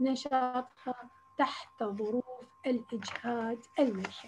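A woman talks in a southern Iraqi accent. Her pitch is high, with ordinary variation. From Iraq, Basra. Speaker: agricultural researcher; lecturer presenting research. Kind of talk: lecture. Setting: video call. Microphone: video call.

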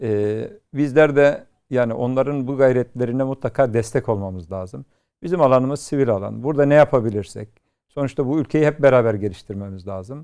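Over a quiet background, a man talks at a fairly quick pace. His dark, mellow tone carries ordinary pitch variation. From Istanbul, Turkey; Turkey. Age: 50s. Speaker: youth NGO platform president; talk show guest. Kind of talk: TV talk show interview. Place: studio. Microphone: lapel.

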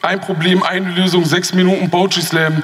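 A man speaks with a high pitch. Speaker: poetry slam performer. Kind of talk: poetry slam performance, rhythmic spoken-word text delivered to a live audience. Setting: stage with audience. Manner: animated, ironic and sarcastic, punchy, with repeated refrain; fast-paced, rushed by time limit. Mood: ironic, pointed, rhythmic. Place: hall.

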